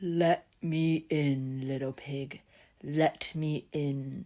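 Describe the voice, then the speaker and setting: A man puts on a character voice, pitched fairly high and delivered at a very slow pace. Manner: threatening.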